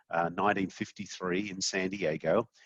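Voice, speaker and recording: The speaker, in an Australian accent, talks at a moderate pace with fairly even intonation. The sound is dry and close, with no echo. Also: man. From Australia, Sydney. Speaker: company CEO. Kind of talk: podcast interview.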